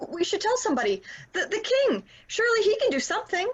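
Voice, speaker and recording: In a put-on character voice, a female-sounding speaker talks at a very fast pace, squeaky, nervous and extremely high-pitched. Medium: audio drama. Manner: nervous, fretful.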